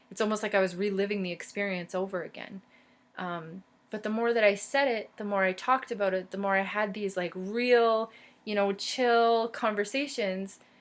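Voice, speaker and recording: A woman at medium pitch with fairly even intonation, a moderate pace and a very clean recording with a silent background. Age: 30s. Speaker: vlogger and podcast co-host. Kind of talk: personal vlog monologue. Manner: casual, hesitant with fillers.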